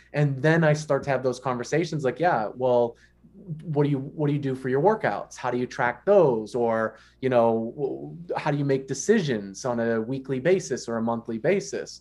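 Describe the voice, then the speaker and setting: This man has a plain, everyday voice, speaking at medium pitch and a moderate pace with ordinary pitch variation. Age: 30s. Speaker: exercise physiology professor. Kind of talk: casual interview.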